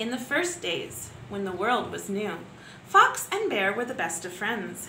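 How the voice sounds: A woman's bright, sharp tone at a fairly slow pace, big pitch swings and audible room echo.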